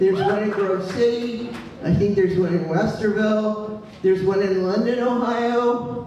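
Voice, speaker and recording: A man with a high pitch, flat monotone intonation, and a fairly slow pace, with audible room echo and noticeable background noise. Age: 70s. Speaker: local political activist. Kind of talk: public speech at town hall. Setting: town hall meeting with audience.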